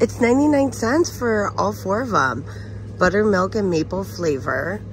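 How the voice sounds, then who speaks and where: The sound is dry, with no echo and light background noise. Delivery comes at a fairly slow pace. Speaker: shopping vlogger. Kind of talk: casual vlog chat. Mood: upbeat, chatty. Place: shop. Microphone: phone near.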